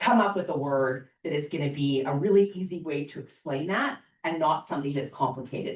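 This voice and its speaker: At a moderate pace, a woman uses an unremarkable speaking voice with ordinary pitch variation. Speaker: startup marketing speaker. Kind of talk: seminar talk.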